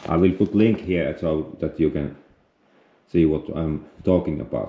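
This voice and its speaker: A man with a Finnish accent speaks in a very deep, low pitch with a dark, mellow tone. His pace is fairly slow, and his pitch varies in an ordinary way. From Finland. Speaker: outdoor vlogger. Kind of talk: outdoor tutorial. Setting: outdoors on a frozen lake, then indoors. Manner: halting, hesitant non-native English.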